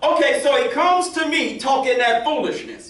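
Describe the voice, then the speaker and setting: A man's raised, projected voice, pitched extremely high for a man, animated in tone with lively intonation and audible room echo. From northern New Jersey. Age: 60s. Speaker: minister. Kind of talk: sermon.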